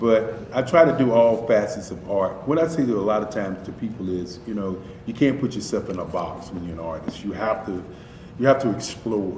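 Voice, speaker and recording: A man with an American accent at a fairly low pitch, fairly quick in pace, with big swings in loudness, ordinary pitch variation, audible room echo and noticeable background noise. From US South, Durham, North Carolina. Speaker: artist. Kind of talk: interview. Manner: halting.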